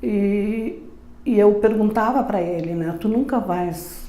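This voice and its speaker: A woman's voice with audible room echo. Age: 80s+. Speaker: retired teacher, company co-founder. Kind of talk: interview testimony. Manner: halting, many fillers.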